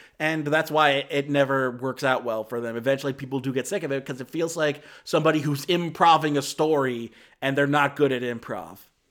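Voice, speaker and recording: Speech moves at a fairly quick pace. The recording is very clean, with a silent background. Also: man, fairly high pitch for a man. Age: 20s. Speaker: film review podcast host. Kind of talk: casual solo review. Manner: animated.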